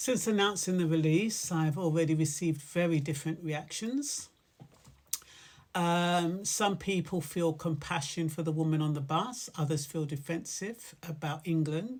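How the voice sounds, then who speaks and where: This woman has an ordinary speaking voice, fairly low in pitch, with ordinary pitch variation. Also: moderate pace. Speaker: poet. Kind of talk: casual talk introducing a poem.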